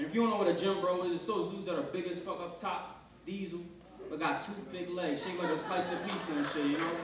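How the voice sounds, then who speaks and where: A man with an American accent and a high pitch speaks at a very fast pace with fairly even intonation, amid audible room echo and noticeable background noise. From Pennsylvania, US. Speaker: stand-up comedian. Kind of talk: stand-up comedy set, crude and profane, riffing on roaches, gym advice and his girlfriend. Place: stage.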